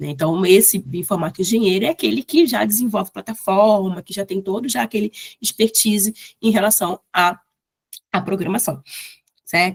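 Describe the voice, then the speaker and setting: Somewhat breathy, a woman speaks at a moderate pace with long, frequent pauses and ordinary pitch variation, in a dry, close sound with no echo. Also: medium pitch for a woman. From Brazil, Rio de Janeiro. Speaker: bioinformatics lecturer. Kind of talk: lecture.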